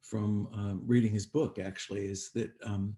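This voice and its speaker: A man's fairly low, somewhat breathy voice, dark and mellow in tone, with monotone, flat intonation. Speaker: president of a memorial project. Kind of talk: event host introduction.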